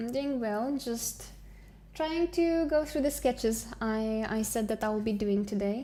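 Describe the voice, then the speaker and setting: With a Romanian accent, a woman talks at a fairly slow pace using lively intonation. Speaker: digital artist streamer. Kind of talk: casual live stream chat. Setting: live stream. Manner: relaxed, hesitant with fillers.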